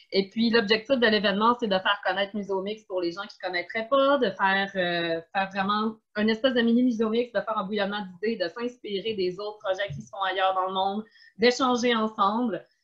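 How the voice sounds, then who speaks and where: This woman speaks with a strong Quebec accent. Her intonation is fairly even. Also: medium pitch for a woman, fairly quick pace. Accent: strong Québécois. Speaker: event host, museum community organizer. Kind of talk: online panel moderation.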